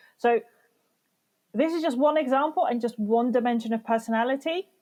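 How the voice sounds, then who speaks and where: A woman speaks loudly and at a fairly quick pace. Her voice is high in pitch, with a dark, mellow tone. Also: ordinary pitch variation. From Morocco. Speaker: business mentor and speaker. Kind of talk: podcast interview.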